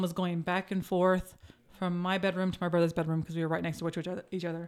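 On a very clean recording with a silent background, a woman speaks at a medium pitch with an American accent. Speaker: podcast co-host. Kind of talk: casual chat.

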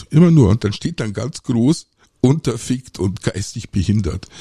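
A man with a medium pitch and a dark, mellow, somewhat breathy tone speaks at a moderate pace. His pitch swings very widely. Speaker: podcast host, aquarist. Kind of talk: solo podcast monologue. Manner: hesitant, many filler sounds.

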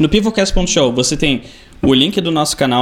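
Moderate in pace, a man speaks in a plain, everyday voice. His pitch varies in an ordinary way. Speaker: podcast host. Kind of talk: casual chat.

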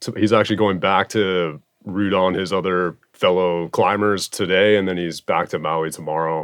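A man's very deep, low voice at a moderate pace, with fairly even intonation and hardly any pauses. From Hawaii (Oahu). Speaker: podcast host and musician. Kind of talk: casual chat. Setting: mobile microphone recording at home.

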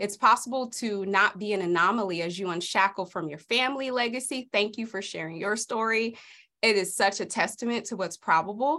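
A woman's bright, sharp voice at medium pitch with an American accent, fairly quick and with ordinary pitch variation, on a very clean recording with a silent background. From South Central Los Angeles. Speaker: author and coach. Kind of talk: casual interview.

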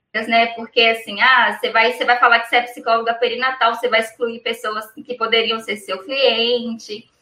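A woman speaks at a moderate pace in a high-pitched voice. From Brazil, Minas Gerais. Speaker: perinatal psychologist. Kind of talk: interview on live stream.

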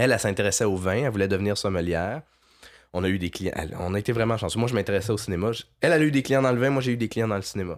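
A man with a Quebec accent and a fairly low pitch talks at a very fast pace. The recording is very clean, with a silent background. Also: ordinary pitch variation. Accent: Québécois French. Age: 30s. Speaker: freelance video producer. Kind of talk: casual interview.

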